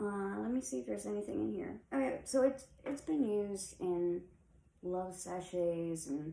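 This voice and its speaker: A woman speaks fairly slowly in a dark, mellow tone, her medium pitch swinging very widely. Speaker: witchcraft content creator. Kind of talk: tutorial. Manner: casual.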